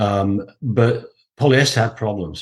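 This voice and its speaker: Somewhat breathy, a man with a Yorkshire accent speaks at a medium pitch with fairly even intonation. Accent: Huddersfield Yorkshire. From northern England, Huddersfield. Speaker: textile production expert. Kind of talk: interview.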